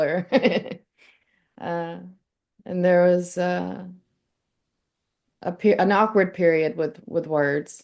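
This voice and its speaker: Speaking at a fairly slow pace, a woman with a Southern US accent has a fairly low pitch. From US South. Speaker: spiritual speaker. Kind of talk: casual chat.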